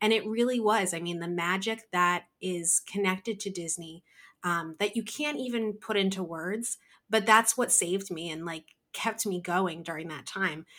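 A woman with a New Jersey accent, medium pitch, a bright, sharp tone and ordinary pitch variation, at a moderate pace, on a very clean recording with a silent background. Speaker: craft business owner, artist. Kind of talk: casual interview chat.

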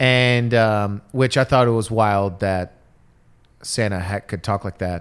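Here a man speaks with an American accent at a very slow pace. His pitch is fairly low and his intonation fairly even. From Detroit, US Midwest. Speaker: comedian. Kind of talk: casual chat.

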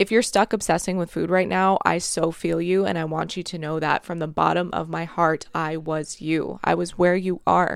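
On a very clean recording with a silent background, a woman speaks in an animated tone at a fairly low pitch. Her pace is moderate, with hardly any pauses. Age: 30s. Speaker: podcast host, nutrition coach. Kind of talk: solo podcast monologue.

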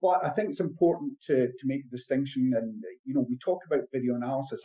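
A man with a Scottish accent, a dark, mellow tone and lively intonation. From Scotland. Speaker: performance analyst. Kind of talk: interview.

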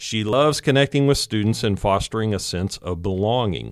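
A man with a normal speaking voice, fairly low in pitch and lively in intonation, on a very clean recording against a silent background. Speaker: podcast host, college advancement director. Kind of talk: scripted podcast intro and outro.

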